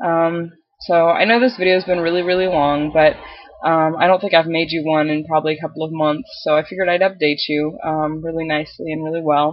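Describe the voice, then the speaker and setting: Fairly quick and fairly low-pitched, this woman talks on. Her intonation is fairly even. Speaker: video blogger. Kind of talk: casual vlog update. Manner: hesitant, many filler ums.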